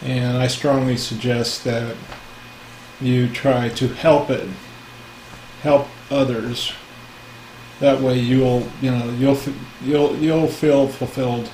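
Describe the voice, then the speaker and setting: Very slow and marked by long, frequent pauses, a man's medium-pitched, monotone, flat delivery comes with audible room echo and noticeable background noise. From US West Coast (San Francisco Bay Area). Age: 60s. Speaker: spiritual teacher. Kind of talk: casual talk. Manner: halting, many fillers.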